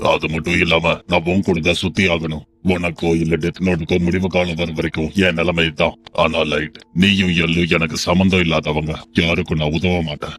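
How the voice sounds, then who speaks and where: Using a put-on character voice, a man speaks at a moderate pace with a very deep, low pitch and monotone, flat intonation. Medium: fan dub. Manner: detached.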